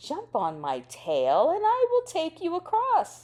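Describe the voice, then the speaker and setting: Using a put-on character voice, a woman speaks at an extremely high pitch. She keeps a fairly slow pace. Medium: read story. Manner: polite, smooth.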